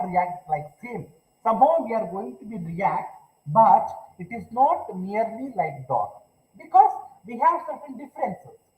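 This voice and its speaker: Audible room echo surrounds a man speaking fairly slowly in a high pitch, with very wide pitch swings. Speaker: university lecturer. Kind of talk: online lecture. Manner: louder than usual; halting with fillers.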